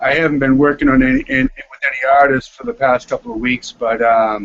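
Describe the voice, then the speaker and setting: In a Boston accent, a man talks at a moderate pace with monotone, flat intonation. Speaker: music producer and composer. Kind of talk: casual chat. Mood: relaxed, friendly.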